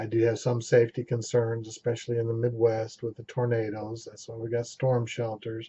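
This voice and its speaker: Somewhat breathy, a man speaks at a fairly quick pace with a medium pitch. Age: 60s. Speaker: amateur vlogger. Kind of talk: casual vlog monologue.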